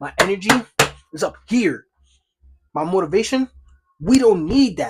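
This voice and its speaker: A man speaks in an animated tone at a moderate pace. His pitch swings very widely. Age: 20s. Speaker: vlogger, day trader. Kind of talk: motivational vlog monologue.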